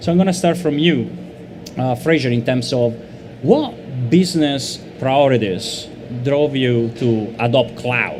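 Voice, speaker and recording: A man with an Italian accent talks at a fairly slow pace, with long, frequent pauses, a medium pitch and ordinary pitch variation. Audible room echo and noticeable background noise are present. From Italy. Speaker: panel moderator, marketing lead. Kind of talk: panel discussion.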